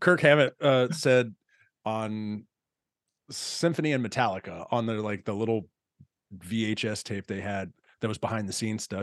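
A man speaks in an American accent. His pitch is fairly low. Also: dry, close sound with no echo. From Texas. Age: 40s. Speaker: podcast host. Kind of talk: casual chat.

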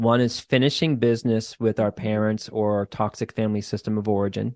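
With a slight Boston accent, a man speaks at a fairly quick pace, the sound dry and close with no echo and the background quiet. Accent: mild Boston. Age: 40s. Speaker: clinical social worker and therapist. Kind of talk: casual interview chat. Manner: casual, profane, laughs often.

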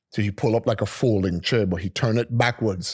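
A man with an American accent talks at a very fast pace in a fairly low, somewhat breathy voice with fairly even intonation. The recording is very clean with a silent background, dry and close with no echo. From US Virgin Islands, St. Thomas. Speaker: DJ and music producer. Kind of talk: casual interview storytelling.

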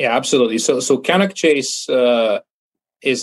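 A man with a Bulgarian accent, medium pitch, and ordinary pitch variation. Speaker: filmmaker. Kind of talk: interview. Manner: halting.

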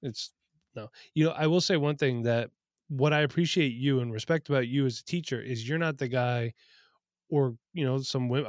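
A man with an ordinary speaking voice talks at a fairly quick pace at medium pitch with ordinary pitch variation, the very clean recording dry and close with no echo and a silent background. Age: 30s. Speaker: podcast host and fantasy football content creator. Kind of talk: casual chat. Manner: casual, joking.

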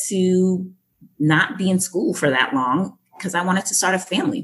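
A woman with an American accent speaks in a plain, everyday voice. Her pitch is medium and her pace fairly slow. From Boston and Jamaica. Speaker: education program director and speaker. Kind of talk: interview, conversational.

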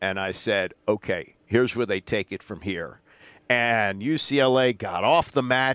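In a normal speaking voice, a man talks at a medium pitch and a fairly slow pace with ordinary pitch variation, the recording very clean, with a silent background and a dry, close sound with no echo. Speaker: sports talk co-host. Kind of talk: casual chat.

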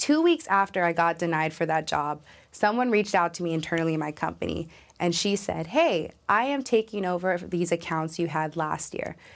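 A woman with an American accent, an unremarkable speaking voice, fairly low pitch, ordinary pitch variation and a fairly quick pace. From Los Angeles, California. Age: 20s. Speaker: young tech professional. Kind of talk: interview conversation.

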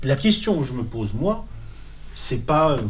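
Over audible room echo, a man talks with vocal fry at a moderate pace. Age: 40s. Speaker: essayist and lecturer. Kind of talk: lecture. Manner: halting with frequent repetitions.

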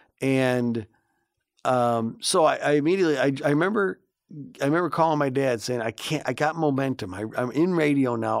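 A man with a Chicago accent speaks at a fairly high pitch, his pitch rising and falling in an ordinary way, on a very clean recording with a silent background. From Chicago, south side. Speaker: morning radio host. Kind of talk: casual chat. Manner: animated.

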